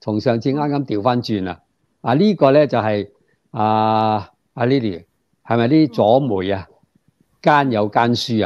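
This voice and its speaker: A man with a Hong Kong accent speaks at a moderate pace with ordinary pitch variation. His loudness swings widely over a quiet background. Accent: Hong Kong Cantonese. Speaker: political commentator guest. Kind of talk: political commentary discussion. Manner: many hesitation fillers. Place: home room. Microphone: earbuds.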